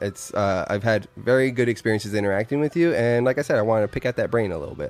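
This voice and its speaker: With noticeable background noise behind him, a man talks at a very fast pace in a medium pitch. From Arizona, Yuma. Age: 30s. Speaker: podcast host. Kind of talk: casual chat.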